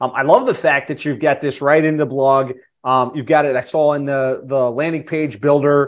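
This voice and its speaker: Here a man with fairly high pitch speaks at a moderate pace in a monotone, flat intonation. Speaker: podcast host. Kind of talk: casual webinar interview. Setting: live online session.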